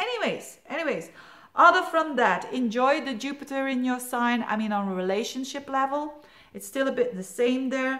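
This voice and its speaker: With a non-native accent, a woman with a high-pitched voice talks at a moderate pace with lively intonation, amid noticeable background noise and audible room echo. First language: Dutch (Flemish). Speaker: astrologer. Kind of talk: monthly horoscope forecast talk. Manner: casual, hesitant with fillers.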